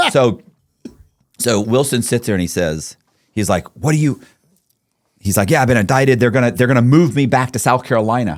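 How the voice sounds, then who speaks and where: An American man talks at a medium pitch and a fairly quick pace, with an animated tone and lively intonation. Long, frequent pauses break up his speech on a very clean recording with a silent background. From Florida, Tampa. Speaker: convicted fraudster telling his story. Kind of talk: casual interview. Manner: fast.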